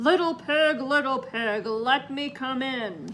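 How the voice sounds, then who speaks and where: A growling, put-on character voice at a fairly slow pace, over clear background noise. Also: woman, high pitch for a woman. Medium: read story.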